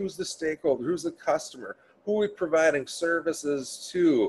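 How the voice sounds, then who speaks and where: A man with a Minnesotan accent at a fairly quick pace. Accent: Minnesota. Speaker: change management trainer. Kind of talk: webinar presentation. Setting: online webinar. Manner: casual, filler-heavy.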